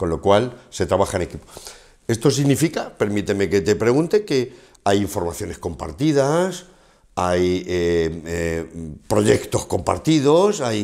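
Against a quiet background, a man speaks fairly slowly at a fairly low pitch, his voice swinging very widely in pitch. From Spain, Castilla-La Mancha (Ciudad Real); Castilla-La Mancha, Spain. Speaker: interviewer, business show host. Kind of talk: interview. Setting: bar set. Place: studio. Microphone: lapel.

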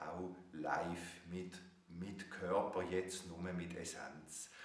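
At a very slow pace, a man with a very deep, low pitch speaks amid audible room echo. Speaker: spiritual teacher, author. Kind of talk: video message to an audience. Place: home room. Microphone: webcam.

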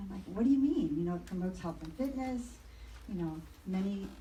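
Her pitch varies in an ordinary way. Noticeable background noise and audible room echo are there as this woman talks. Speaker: public commenter, race organizer. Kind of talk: public comment at council meeting. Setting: city council meeting. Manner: fast.

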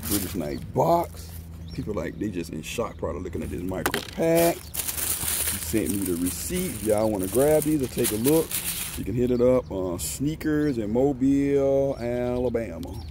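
A man's voice shows very wide pitch swings, with a dry sound that has no echo and noticeable background noise behind it. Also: moderate pace. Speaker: sneaker reviewer. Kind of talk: casual review vlog chat. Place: street. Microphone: phone near.

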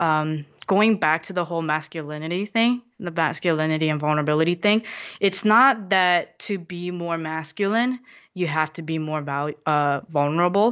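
A woman with a Korean accent speaks at a very deep, low pitch. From South Korea, then New York (Queens) from age 10. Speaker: motivational speaker. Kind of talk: casual chat.

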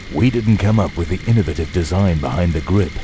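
Music in the background behind a man's very deep, low voice, fairly quick pace and ordinary pitch variation. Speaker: voice actor. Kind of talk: TV commercial read.

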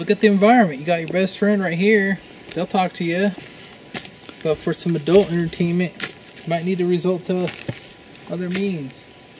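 A man's high voice at a moderate pace, fairly even in intonation, with long, frequent pauses and light background noise. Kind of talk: comedic tutorial monologue. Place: forest. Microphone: camera far.

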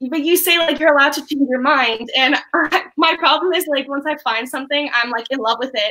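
A woman speaks in a raised, projected voice with a Canadian accent, her tone bright and sharp and her pitch high. She barely pauses, her pitch varies in an ordinary way, and the background is quiet. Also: fairly quick pace. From Canada. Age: 20s. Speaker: university student; caller. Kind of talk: casual chat. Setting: video call. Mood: warm, smiling, earnest. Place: home room.

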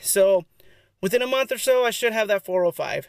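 Against a quiet background, a man talks at a moderate pace with ordinary pitch variation, and the sound is dry with no echo. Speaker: fitness vlogger. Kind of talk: casual vlog chat. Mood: relaxed, content. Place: car. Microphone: phone near.

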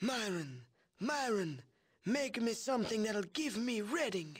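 Putting on a wheezy character voice, a man talks at a high pitch and a fairly slow pace with lively intonation.

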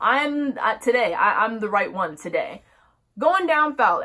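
A woman uses a raised, projected voice with a bright, sharp tone. She speaks at a fairly slow pace against a quiet background. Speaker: vlogger. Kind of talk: casual storytime vlog. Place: home room. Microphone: phone near.

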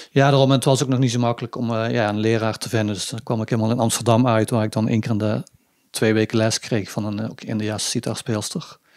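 Very fast and flat, a man speaks in a monotone. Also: medium pitch for a man. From southern Netherlands, Limburg (Budel/Weert). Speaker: sitar player in a band. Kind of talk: casual interview chat. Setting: living room.

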